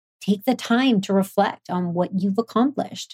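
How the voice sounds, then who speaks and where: A woman speaks at a fairly slow pace with a medium pitch and ordinary pitch variation. Her tone is dark, mellow, somewhat breathy and upbeat. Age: 30s. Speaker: podcast host and entrepreneur. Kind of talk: solo motivational talk.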